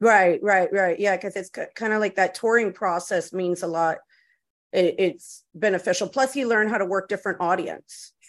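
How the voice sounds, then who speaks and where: A woman talks in an ordinary speaking voice at a medium pitch and moderate pace, with ordinary pitch variation against a quiet background. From US, Cuban and Puerto Rican family. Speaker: podcast host. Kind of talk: casual interview chat. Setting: podcast recording.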